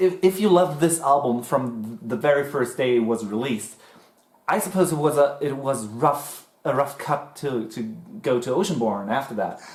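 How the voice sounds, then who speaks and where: With a German accent, a man speaks at a moderate pace. His fairly high voice has lively intonation. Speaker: music reaction youtuber. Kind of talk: casual chat.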